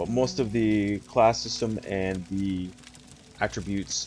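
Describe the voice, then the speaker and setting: Music plays behind a soft-spoken man whose voice sits at a fairly low pitch. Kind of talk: casual gaming walkthrough talk.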